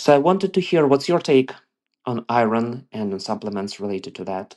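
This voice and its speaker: Against a quiet background, the speaker talks with an Eastern European accent. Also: man. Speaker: listener sending a voice question. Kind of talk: recorded voice message.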